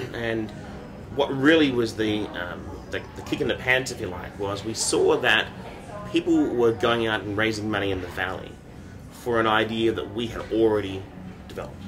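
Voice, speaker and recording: Someone with an Australian accent talks at a moderate pace with long, frequent pauses, amid noticeable background noise and audible room echo. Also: man, medium pitch for a man, ordinary pitch variation. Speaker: startup founder and CEO. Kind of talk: interview.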